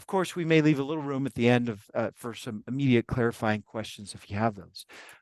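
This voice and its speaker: Over a quiet background with a dry, close sound and no echo, a man talks very fast at a medium pitch with ordinary pitch variation and big swings in loudness. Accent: American. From US West Coast. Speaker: professor. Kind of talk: webinar introduction. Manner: casual, hesitant with fillers.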